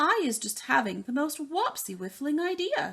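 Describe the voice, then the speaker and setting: A woman performs a put-on character voice at high pitch. Her pitch swings very widely at a moderate pace. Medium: read story. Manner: jumbled grammar, made-up words.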